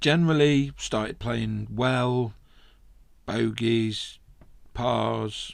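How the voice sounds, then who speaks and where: With an English Midlands accent, a man speaks at medium pitch with ordinary pitch variation. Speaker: golf podcaster. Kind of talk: casual monologue podcast.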